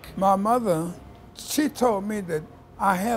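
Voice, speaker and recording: A man talks at a fairly slow pace with a high pitch. Noticeable background noise runs underneath. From Nashville, Tennessee. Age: 80s+. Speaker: soul singer. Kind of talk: interview.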